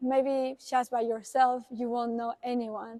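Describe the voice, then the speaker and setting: With a Spanish accent, this woman talks in a high pitch and a monotone, flat intonation, recorded with a dry, close sound and no echo. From Uruguay. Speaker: international student. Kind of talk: interview.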